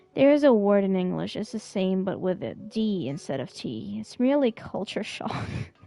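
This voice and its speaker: With noticeable background noise behind her, a woman speaks at a moderate pace with hardly any pauses, keeping a medium pitch that swings very widely. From Syria and Germany. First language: not English. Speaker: streamer. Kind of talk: casual chat. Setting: live stream.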